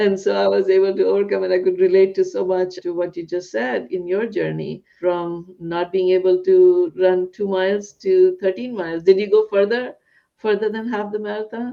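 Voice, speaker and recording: Someone with a non-native accent speaks at a moderate pace with hardly any pauses. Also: woman, medium pitch for a woman, ordinary pitch variation. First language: not English. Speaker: psychiatrist and podcast host. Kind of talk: interview conversation. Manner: halting, repeats words.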